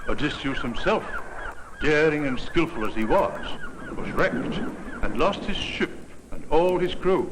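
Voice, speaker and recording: Against noticeable background noise, a man speaks at a fairly slow pace. His voice is high-pitched, with lively intonation. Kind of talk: educational documentary narration.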